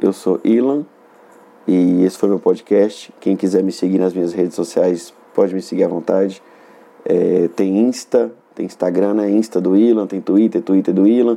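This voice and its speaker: This man talks at a moderate pace with a fairly low pitch and ordinary pitch variation. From northern Minas Gerais, Brazil (Montes Claros). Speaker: comedian and podcast host. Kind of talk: comedic solo monologue. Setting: solo recording in Belo Horizonte.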